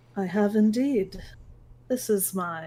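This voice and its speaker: In a put-on character voice, a woman speaks breathily at a medium pitch. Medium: actual play. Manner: smiling, gracious.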